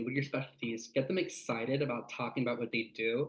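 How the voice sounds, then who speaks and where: Speaking with an American accent, a man uses a medium pitch and ordinary pitch variation. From California Central Valley. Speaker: sales rep. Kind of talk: workshop talk. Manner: fast.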